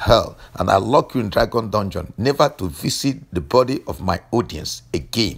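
With vocal fry and an intense tone, a man talks at a moderate pace while his pitch swings very widely. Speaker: deliverance preacher and health teacher. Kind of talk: fervent deliverance prayer, commanding and declarative. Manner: intense, incantatory rhythm with repeated 'let the fire'.

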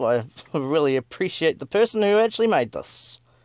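Someone with a New Zealand accent speaks at a fairly quick pace against a quiet background. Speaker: gaming YouTuber. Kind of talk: gameplay commentary. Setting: home recording, gameplay. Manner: animated, exclamatory.

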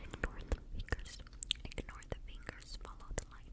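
The speaker whispers at a moderate pace. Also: woman. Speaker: ASMR creator. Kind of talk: soft ASMR whisper-talk to viewer. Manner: soft, close-mic ASMR murmur. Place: home room. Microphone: studio mic.

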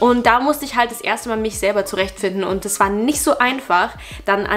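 Faint music plays in the background as a woman speaks at a fairly quick pace. Her pitch is medium, with ordinary pitch variation. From Germany. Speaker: YouTuber; vlogger. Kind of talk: reaction video commentary. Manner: animated. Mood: nostalgic, relaxed. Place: home room. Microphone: phone near.

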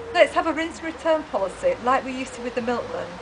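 The speaker talks at a fairly quick pace against noticeable background noise. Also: woman. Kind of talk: campaign appeal to camera. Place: street. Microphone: camera far.

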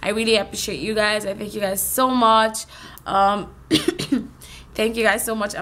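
A woman's hoarse, raspy put-on character voice, fairly high in pitch, at a moderate pace. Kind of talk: casual vlog chat. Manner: grateful, friendly. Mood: warm, grateful.

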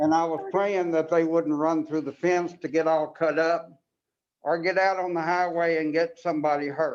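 At a moderate pace, a man talks in a high pitch with a monotone, flat intonation. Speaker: resident giving public comment. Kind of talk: public comment.

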